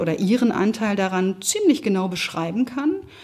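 A woman at medium pitch and moderate pace, somewhat breathy, with ordinary pitch variation. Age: 50s. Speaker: managing director. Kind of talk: interview.

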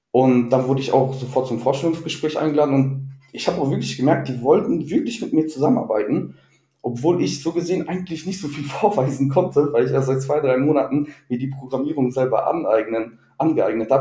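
Music plays in the background as a man speaks at a very fast pace, fairly high in pitch with ordinary pitch variation. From Ruhr area, Germany. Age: 20s. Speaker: IT employee. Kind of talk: interview. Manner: halting, many fillers.

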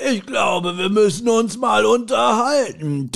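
Putting on a gruff character voice, a man talks at a high pitch and a fairly slow pace with lively intonation. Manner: stern, confrontational.

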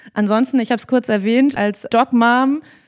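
A woman speaks in an unremarkable speaking voice. Her pitch is fairly high and her intonation fairly even. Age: 30s. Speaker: HR manager. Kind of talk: interview. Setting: company office.

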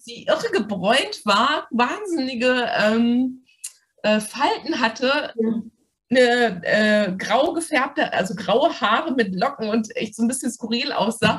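Her pitch is high and her intonation lively. The woman speaks at a very slow pace. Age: 50s. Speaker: doctor and coaching client. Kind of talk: interview testimony.

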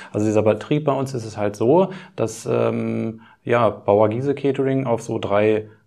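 This man speaks fairly slowly in a dark, mellow tone. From Lower Saxony, Schaumburg region. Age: 40s. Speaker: caterer and butcher running a family business. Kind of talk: interview.

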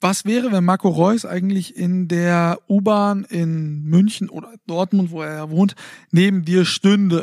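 The sound is dry and close with no echo as a man speaks at a high pitch and fairly slow pace. His intonation is fairly even, but his loudness swings widely. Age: 20s. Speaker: sports TV presenter and podcast co-host. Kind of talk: casual chat. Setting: recording in bed at home.

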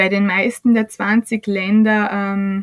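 A woman speaks at a fairly high pitch. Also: dry, close sound with no echo. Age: 30s. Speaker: startup CEO. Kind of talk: podcast interview.

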